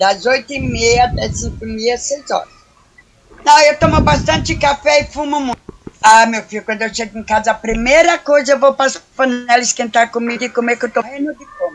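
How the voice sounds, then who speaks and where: A woman speaks at a high pitch with ordinary pitch variation. Her loudness swings widely. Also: moderate pace. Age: 50s. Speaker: day cleaner. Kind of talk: interview answers.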